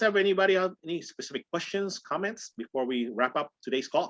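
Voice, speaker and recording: The voice races at a very fast pace with very wide pitch swings over a quiet background. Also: man. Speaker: real estate trainer. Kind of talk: training call. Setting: group call. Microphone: video call.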